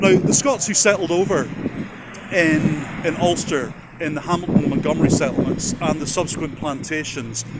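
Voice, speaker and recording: Audible room echo and noticeable background noise over a man's fairly quick speech. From Northern Ireland. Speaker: genealogy video host. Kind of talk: casual educational talk to camera. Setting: on location at a church. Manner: hesitant with fillers and repetitions.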